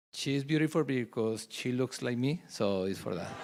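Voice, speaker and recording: Speaking with a Spanish accent, a man keeps a moderate speed. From Colombia. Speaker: ministry leader. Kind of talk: testimony.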